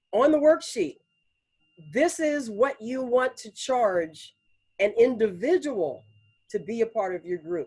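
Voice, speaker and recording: Here a woman speaks in a dark, mellow tone. Her pitch swings very widely. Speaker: business trainer and speaker. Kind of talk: online training presentation. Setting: pre-recorded online presentation. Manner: fast.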